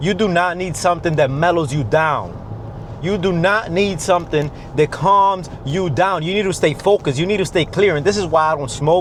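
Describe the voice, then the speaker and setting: A man's intense, high-pitched voice at a moderate pace, with ordinary pitch variation and noticeable background noise. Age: 20s. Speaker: fitness and mindset coach, vlogger. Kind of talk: motivational talk to camera. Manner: intense, emphatic.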